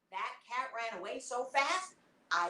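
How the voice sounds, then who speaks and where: A woman's high-pitched voice, bright and sharp in tone, with very wide pitch swings. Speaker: storyteller. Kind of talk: family storytelling performance. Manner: lively, animated.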